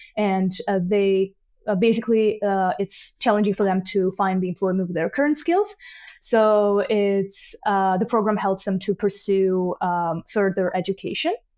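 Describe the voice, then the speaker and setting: A woman's medium-pitched voice with a dark, mellow tone, fairly even intonation and a moderate pace against a quiet background. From Georgia (Tbilisi). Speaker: inclusion specialist at an employment cooperative. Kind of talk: interview.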